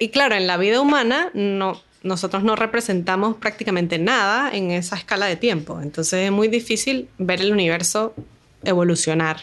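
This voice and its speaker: It is a plain, everyday voice at a moderate pace, with ordinary pitch variation. The loudness is very even, over a quiet background. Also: woman, medium pitch for a woman. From Venezuela, Caracas. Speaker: astronomer. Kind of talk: interview. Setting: in person at a university institute.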